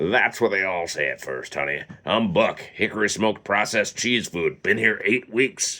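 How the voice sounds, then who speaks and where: A man's gravelly, wheezy, raspy put-on character voice at fairly low pitch, with lively intonation and hardly any pauses. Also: moderate pace. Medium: read story.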